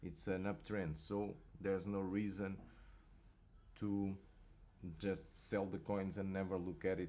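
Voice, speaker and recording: With a non-native accent, a man speaks at a fairly slow pace in a very deep, low pitch and a dark, mellow tone. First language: not English. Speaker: crypto market analyst. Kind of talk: market analysis commentary. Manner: halting, repeats words.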